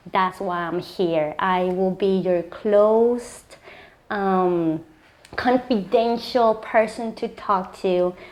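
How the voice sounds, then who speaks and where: The speaker has a slight Puerto Rican accent and ordinary pitch variation. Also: woman. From Puerto Rico. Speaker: clinical psychologist. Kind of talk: interview.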